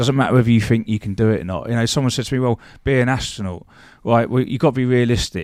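With a British accent, the speaker goes at a very fast pace with ordinary pitch variation in a very clean recording with a silent background. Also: man, medium pitch for a man. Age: 40s. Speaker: former bodyguard and security business owner. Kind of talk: casual chat.

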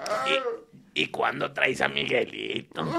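A man puts on a character voice, very deep and low, at a fairly slow pace.

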